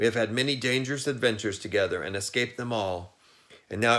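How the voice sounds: What you hear is a natural reading voice.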